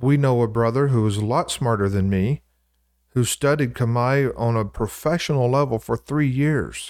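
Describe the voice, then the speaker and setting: On a very clean recording with a silent background, the speaker uses an American accent, a moderate pace, ordinary pitch variation and very even loudness. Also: man, medium pitch for a man. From US South, Louisiana. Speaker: co-host, church preacher. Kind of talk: casual Bible discussion.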